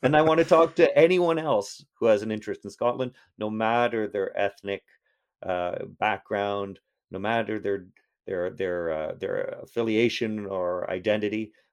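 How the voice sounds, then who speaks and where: In a Canadian accent, a man with a fairly low pitch talks at a moderate pace with lively intonation against a quiet background. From Toronto, Canada. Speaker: history professor. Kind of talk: casual interview. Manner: halting, many repetitions; animated.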